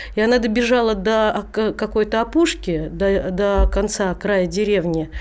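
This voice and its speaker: Over noticeable background noise, a woman at a medium pitch speaks at a fairly slow pace. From Rzhev, Russia. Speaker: singer. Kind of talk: casual chat. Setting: studio.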